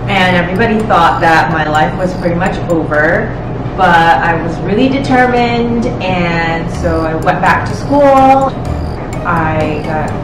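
A woman talks at a fairly slow pace while music plays in the background. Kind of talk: interview answer. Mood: warm, personal storytelling. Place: home room.

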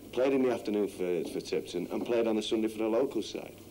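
Over light background noise, a man with a fairly low pitch and a dark, mellow tone speaks at a very fast pace with ordinary pitch variation. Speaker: football coach. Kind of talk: interview. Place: home room.

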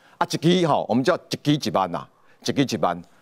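Vocal fry from a man, with a dry, close sound and no echo. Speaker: political commentator. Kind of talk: panel discussion.

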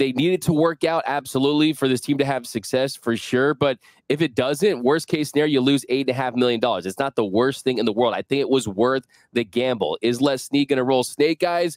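In a dry recording with no echo and a quiet background, a man talks at a fairly quick pace in a fairly high voice, with ordinary pitch variation and very even loudness. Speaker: sports podcast host. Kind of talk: casual sports talk. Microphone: headset.

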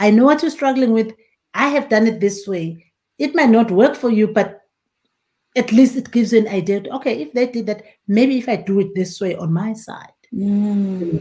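A woman's fairly high voice, somewhat breathy with a dark, mellow tone, moves with ordinary pitch variation. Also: moderate pace. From rural South Africa. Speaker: winemaker and winery owner; guest. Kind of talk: casual interview. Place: home room.

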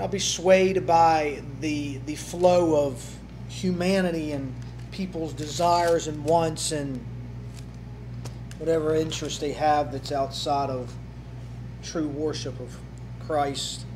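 A man at a very slow pace, with long, frequent pauses, big swings in loudness and noticeable background noise. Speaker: pastor. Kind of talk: sermon. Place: church. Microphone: podium.

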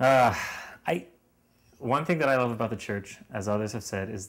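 Moderately paced speech from a man with an American accent. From Lancaster, Pennsylvania, US; Pennsylvania. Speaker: university student; interviewee. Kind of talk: interview. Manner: halting, with frequent repetitions and fillers. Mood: reflective, earnest. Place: home room. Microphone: headset.

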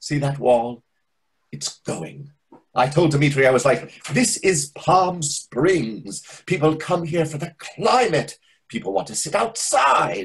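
In a put-on character voice, a man speaks slowly at a fairly high pitch with big pitch swings, vocal fry and a slightly husky edge.

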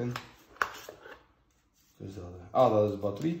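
At a moderate pace, a man with a West Flemish accent speaks in a medium pitch over noticeable background noise. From West Flanders, Belgium. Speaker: unboxing host. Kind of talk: casual unboxing talk to camera. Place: home room. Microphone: phone near.

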